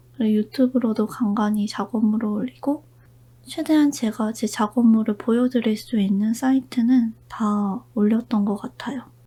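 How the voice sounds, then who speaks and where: A woman whispering, somewhat breathy, at a very slow pace. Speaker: illustrator and character designer. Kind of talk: whispered ASMR chat. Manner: whispered.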